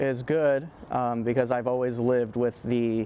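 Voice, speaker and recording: A man speaks at a very slow pace in a medium pitch. His intonation is flat and monotone. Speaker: acting student. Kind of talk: personal testimony interview. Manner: halting, repeats words.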